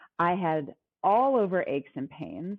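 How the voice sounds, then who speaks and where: Lively intonation marks this woman's voice. She speaks at medium pitch and a moderate pace. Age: 50s. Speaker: wellness coach. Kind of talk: interview.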